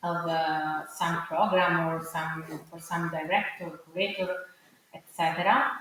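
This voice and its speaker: Monotone, flat intonation in an Italian accent, a fairly slow pace, big swings in loudness, audible room echo and noticeable background noise. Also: woman, fairly low pitch for a woman. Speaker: arts curator and producer. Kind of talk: panel discussion. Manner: halting, many fillers.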